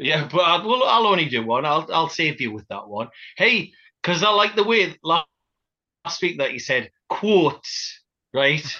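A man's fairly slow delivery with vocal fry and very wide pitch swings, over a quiet background. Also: fairly high pitch for a man. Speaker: podcast host. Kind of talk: casual banter.

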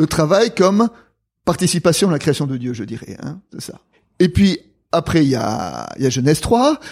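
A man speaks at a moderate pace with lively intonation, vocal fry and a fairly high pitch, on a very clean recording with a silent background. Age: old. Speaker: theologian and retired pastor. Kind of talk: conversational interview on theology.

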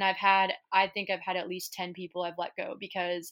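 A woman with an American accent and a medium pitch. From Kansas City, Missouri, US Midwest. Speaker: marketing agency founder. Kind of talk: interview.

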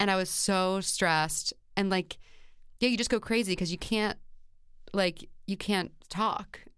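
At a fairly slow pace, a woman speaks at medium pitch with very even loudness. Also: very clean recording, silent background. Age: 30s. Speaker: comedian and singer. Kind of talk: casual interview chat. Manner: animated.

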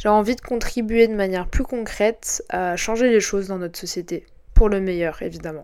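Here is a woman with a normal speaking voice. Her pitch is medium, with ordinary pitch variation. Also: moderate pace. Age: 20s. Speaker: podcast host. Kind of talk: scripted narration. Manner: formal.

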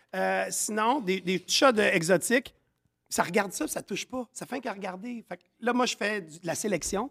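A man with a high pitch talks at a moderate pace in an animated tone, his pitch varying in an ordinary way. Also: dry, close sound with no echo. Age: 40s. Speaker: chef and business owner. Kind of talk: casual chat.

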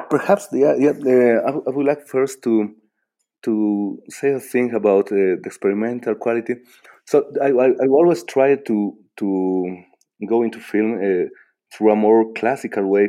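The speaker has a Bolivian accent and ordinary pitch variation. The pace is fairly slow. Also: man, medium pitch for a man. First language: Spanish. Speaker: filmmaker. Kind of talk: interview. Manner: halting, many repetitions and fillers.

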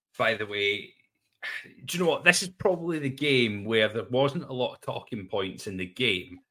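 A man speaks at medium pitch and a moderate pace in a bright, sharp tone. His pitch swings very widely and his loudness rises and falls sharply. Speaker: football pundit. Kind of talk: casual chat.

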